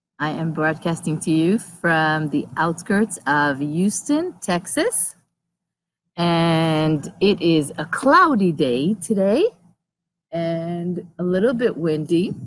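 A woman with a fairly low pitch and ordinary pitch variation speaks very slowly in a dry sound with no echo. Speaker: livestream host. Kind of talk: casual vlog chat. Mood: cheerful, relaxed. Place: open country. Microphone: phone near.

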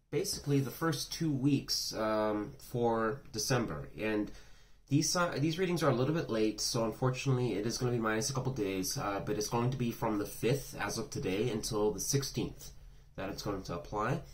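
Here a man speaks with lively intonation. His pace is moderate. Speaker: tarot reader. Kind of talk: casual reading intro. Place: home room. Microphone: phone near.

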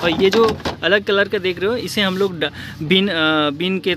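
Through noticeable background noise, a man speaks at a moderate pace in a high pitch with ordinary pitch variation, the sound dry with no echo. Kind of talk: casual vlog chat. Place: shop. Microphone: phone near.

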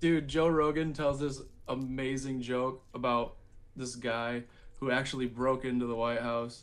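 At a fairly slow pace, a man speaks with a medium pitch and monotone, flat intonation. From Michigan. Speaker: metal musician; guest. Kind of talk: casual interview. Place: home room. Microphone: video call.

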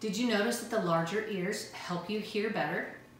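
Recorded with audible room echo and light background noise, a woman talks at a moderate pace with ordinary pitch variation. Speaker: teacher presenting a school science video. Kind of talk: educational children's video, explaining and giving activity instructions. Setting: recorded video lesson. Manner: friendly, clear, encouraging. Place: kitchen. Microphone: camera far.

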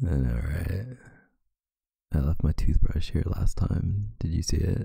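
A soft-spoken man whispering at a fairly slow pace. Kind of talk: boyfriend roleplay audio. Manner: soft-spoken, whispered; sleepy.

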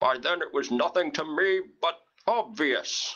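At a fairly slow pace, a man does a cartoonish character voice pitched high. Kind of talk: parody villain monologue.

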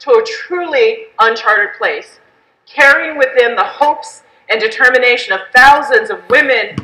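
A woman speaks in a raised, projected voice at a moderate pace. Room echo is audible. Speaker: speaker. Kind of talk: keynote speech. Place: hall. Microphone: headset.

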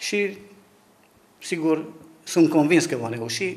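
The man's voice is fairly high in pitch. He takes a fairly slow pace. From Romania, Zalău (Sălaj, Transylvania); Romania. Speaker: local council candidate, teacher; council candidate, teacher. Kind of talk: interview. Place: office. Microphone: handheld.

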